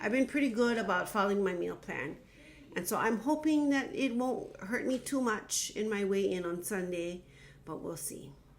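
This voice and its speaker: Using a normal speaking voice, a woman talks at a moderate pace with fairly high pitch and lively intonation. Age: 50s. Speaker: teacher. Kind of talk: casual talk to camera.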